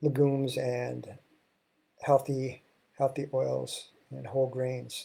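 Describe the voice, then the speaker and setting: The speaker has an American accent and a very slow pace. Long, frequent pauses break up the speech. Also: man. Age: 60s. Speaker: health and wellness show host. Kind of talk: solo talk show monologue. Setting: live stream.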